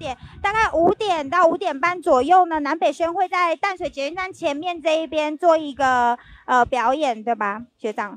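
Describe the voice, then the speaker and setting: Her pitch is extremely high as the woman speaks at a moderate pace with lively intonation. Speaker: video host. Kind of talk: live event tour interview.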